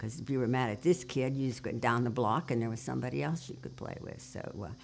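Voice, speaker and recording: Talking at a very fast pace, a woman uses lively intonation, vocal fry and a very deep, low pitch. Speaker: oral history interviewee. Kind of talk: oral history interview. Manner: halting.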